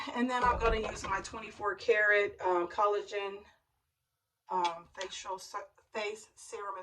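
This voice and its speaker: A woman puts on a raspy character voice at a medium pitch, moving at a fairly slow pace. Her loudness swings widely throughout. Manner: stumbling.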